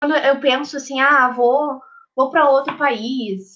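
The voice is a woman's, high in pitch. She keeps a fairly even intonation. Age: 20s. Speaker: psychology student. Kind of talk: casual chat.

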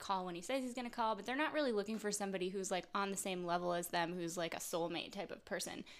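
Using a normal speaking voice, a woman talks with ordinary pitch variation at a medium pitch. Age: young. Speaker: podcast guest. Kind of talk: casual chat.

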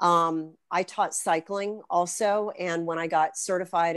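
On a very clean recording with a silent background and a dry, close sound with no echo, a woman with a fairly low pitch and fairly even intonation has an unremarkable speaking voice. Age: 50s. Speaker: fitness instructor and personal trainer. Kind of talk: casual chat.

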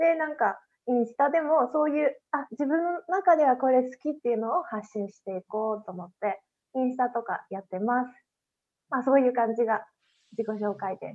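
A high-pitched woman's voice at a moderate pace, with lively intonation and big swings in loudness. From Japan, Hiroshima Prefecture countryside. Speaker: podcast interview guest. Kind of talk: casual interview chat. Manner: casual, frequent fillers.

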